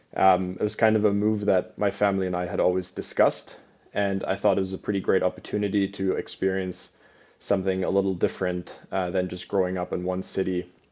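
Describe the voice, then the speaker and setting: The speech moves at a fairly quick pace in a monotone, flat intonation, with a slight German accent. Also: man, very deep, low pitch for a man. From Germany (Cologne). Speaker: real estate company president. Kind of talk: podcast interview.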